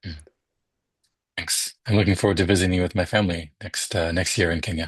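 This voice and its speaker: A man speaks at a very fast pace in a very deep, low voice, somewhat breathy, against a quiet background. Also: fairly even intonation. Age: 40s. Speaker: podcast host, music scholar. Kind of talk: interview.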